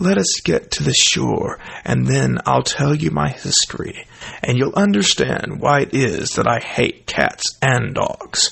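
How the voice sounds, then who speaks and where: In a put-on character voice, a man speaks shakily at a fairly slow pace. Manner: offended, quivering with anger.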